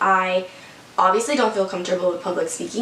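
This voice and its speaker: A woman talks very fast with ordinary pitch variation. There is audible room echo and noticeable background noise. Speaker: vlogger. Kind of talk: testimony. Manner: casual.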